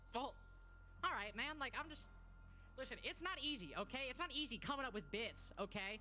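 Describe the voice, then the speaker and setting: The pace is fairly quick, broken by long, frequent pauses. Noticeable background noise sits behind the voice. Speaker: esports caster. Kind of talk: casual chat during tech delay. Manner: fast.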